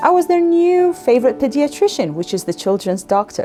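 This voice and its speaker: A woman talks with an Iraqi accent. Music plays in the background. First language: Arabic. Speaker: physician. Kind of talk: personal story told to young learners.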